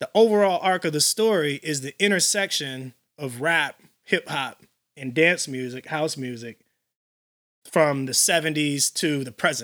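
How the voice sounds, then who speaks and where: On a very clean recording with a silent background, a man speaks at a fairly slow pace in a plain, everyday voice with big swings in loudness. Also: fairly high pitch for a man, ordinary pitch variation, dry, close sound with no echo. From Illinois, Chicago area (Elgin). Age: 40s. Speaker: house music DJ and producer. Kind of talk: casual interview.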